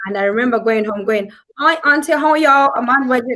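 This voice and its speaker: A woman speaks with a strong African accent. Her pitch is high. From southern Africa (Zambia/Zimbabwe). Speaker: business talk show host. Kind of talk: casual panel chat. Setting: live stream.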